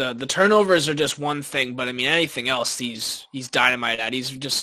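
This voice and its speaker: His pitch is medium, in an unremarkable speaking voice. The pace runs fairly quick, and the pitch varies in an ordinary way. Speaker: college student and hockey writer. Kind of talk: casual sports talk. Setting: live stream.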